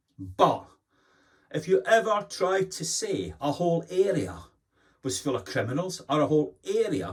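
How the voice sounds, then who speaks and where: A man's fairly slow speech with vocal fry, in a Glasgow accent. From Scotland, Glasgow. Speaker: commentator. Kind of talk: opinion monologue. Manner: animated.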